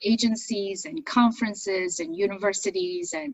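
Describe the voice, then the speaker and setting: A woman speaks at a moderate pace with a medium pitch. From China. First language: Chinese. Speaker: business owner and accent coach. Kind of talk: interview. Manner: articulate, trained broadcaster delivery.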